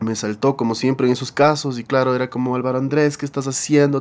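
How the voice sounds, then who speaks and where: An unremarkable speaking voice, fairly quick, with fairly even intonation. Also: man. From Ecuador, Quito. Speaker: rock band singer and guitarist. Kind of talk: interview storytelling.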